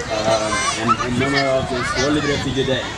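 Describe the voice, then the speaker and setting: Loud background noise is present throughout. Over it, a man talks at a moderate pace. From Eritrea. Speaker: refugee advocate. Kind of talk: speech introduction to an audience. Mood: earnest, somber. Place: open country. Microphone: handheld.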